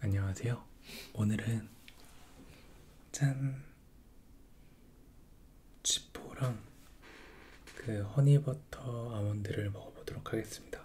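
A man whispers at a very slow pace, somewhat breathy, with long, frequent pauses and light background noise. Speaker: ASMR creator. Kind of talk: ASMR casual chat while eating. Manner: whispered. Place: home room.

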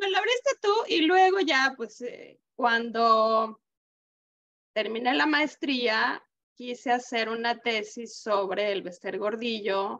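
Her voice is high-pitched, with a bright, sharp tone and lively intonation. This woman speaks at a very slow pace. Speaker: podcast host. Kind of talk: interview.

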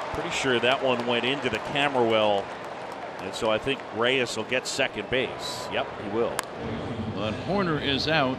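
At a moderate pace, the speech comes through dry with no echo, though loud background noise is present. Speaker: play-by-play announcer. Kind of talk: live baseball commentary. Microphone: headset.

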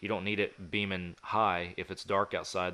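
A man with an American accent and a very deep, low pitch talks at a fairly quick pace. His tone is bright and sharp, and his intonation is monotone and flat. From Texas. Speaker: hunting podcast host. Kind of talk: casual chat. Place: home room. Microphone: studio mic.

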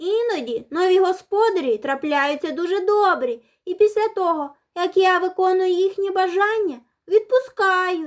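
A squeaky, put-on character voice at a moderate pace. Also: woman, extremely high pitch for a woman. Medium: read story.

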